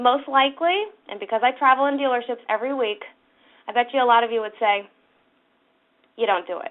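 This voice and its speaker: Energetic in tone, a woman speaks at a moderate pace with a high pitch. Her pitch variation is ordinary. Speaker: sales trainer. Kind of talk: webinar training presentation. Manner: energetic, coaching tone.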